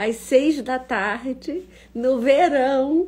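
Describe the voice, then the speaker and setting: Somewhat breathy, a woman's voice carries a dark, mellow tone with ordinary pitch variation. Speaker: professor hosting an online talk. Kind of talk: casual live-stream talk. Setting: Instagram live stream.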